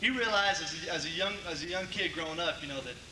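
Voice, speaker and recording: A man rattles off his words very fast, with audible room echo and noticeable background noise around him. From Connecticut, US Northeast. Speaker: college football quarterback. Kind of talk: banquet speech. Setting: banquet hall with audience. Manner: casual, with many fillers and repetitions.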